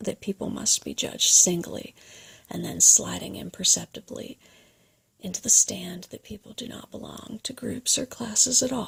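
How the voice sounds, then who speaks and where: A woman whispers at a moderate pace, her loudness swinging widely. The sound is dry and close, with no echo. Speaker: video creator reading a book aloud. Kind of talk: reading of a printed essay, ASMR-style. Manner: soft-spoken.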